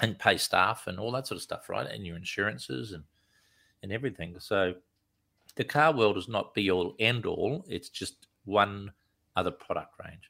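Male speech in an Australian accent, very clean recording, silent background. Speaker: commercial film director. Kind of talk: interview. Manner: casual.

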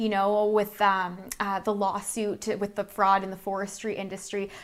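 A woman with an unremarkable speaking voice and a medium pitch speaks at a moderate pace on a very clean recording with a silent background. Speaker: interviewer. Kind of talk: interview.

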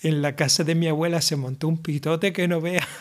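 Noticeable background noise sits behind the voice. The pace is moderate, with fairly even intonation. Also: man. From Canary Islands, Las Palmas (La Isleta). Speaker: solo podcaster. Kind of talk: casual monologue.

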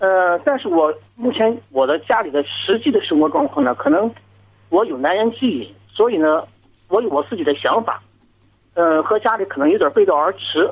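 A high-pitched man's voice at a moderate pace, with very wide pitch swings. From Jinan, Shandong, China. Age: 30s. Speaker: caller. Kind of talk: call-in advice talk. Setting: phone call.

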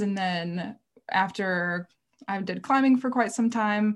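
A woman with an American accent speaks at a moderate pace in a medium pitch with fairly even intonation. She has a plain, everyday voice, and the recording is very clean with a silent background. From rural Minnesota, US Midwest. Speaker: outdoor writer and former guide. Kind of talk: casual interview.

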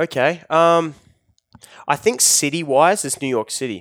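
Recorded very cleanly against a silent background with a dry, close sound and no echo, a man speaks at a moderate pace with an Australian accent. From Australia, Newcastle NSW area, rural. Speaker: celebrity photographer and digital manager. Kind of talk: casual interview. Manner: casual, laid-back.

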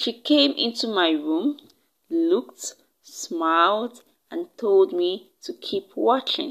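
The reading aloud is plain. Nothing much stirs in the background.

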